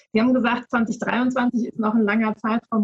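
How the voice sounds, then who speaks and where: The voice belongs to a woman and has a somewhat breathy quality. Her sound is dry and close, with no echo. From Hamburg, northern Germany. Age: 30s. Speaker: politician. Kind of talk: panel discussion.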